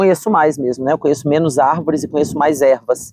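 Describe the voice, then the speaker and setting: The voice has a dark, mellow tone and ordinary pitch variation at a very fast pace. The sound is dry and close with no echo. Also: woman. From Espírito Santo, Brazil (Colatina). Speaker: botanist. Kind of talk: interview.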